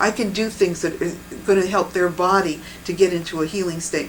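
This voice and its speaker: Against noticeable background noise, a woman talks at a very fast pace, her fairly low voice keeping fairly even intonation. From New England, US. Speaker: bodywork practitioner. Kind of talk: interview. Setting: filmed interview.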